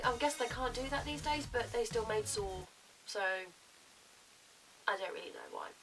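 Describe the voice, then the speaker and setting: Music plays in the background. Over it, a woman speaks with a British accent. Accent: English, casual British. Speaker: YouTuber. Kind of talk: casual vlog.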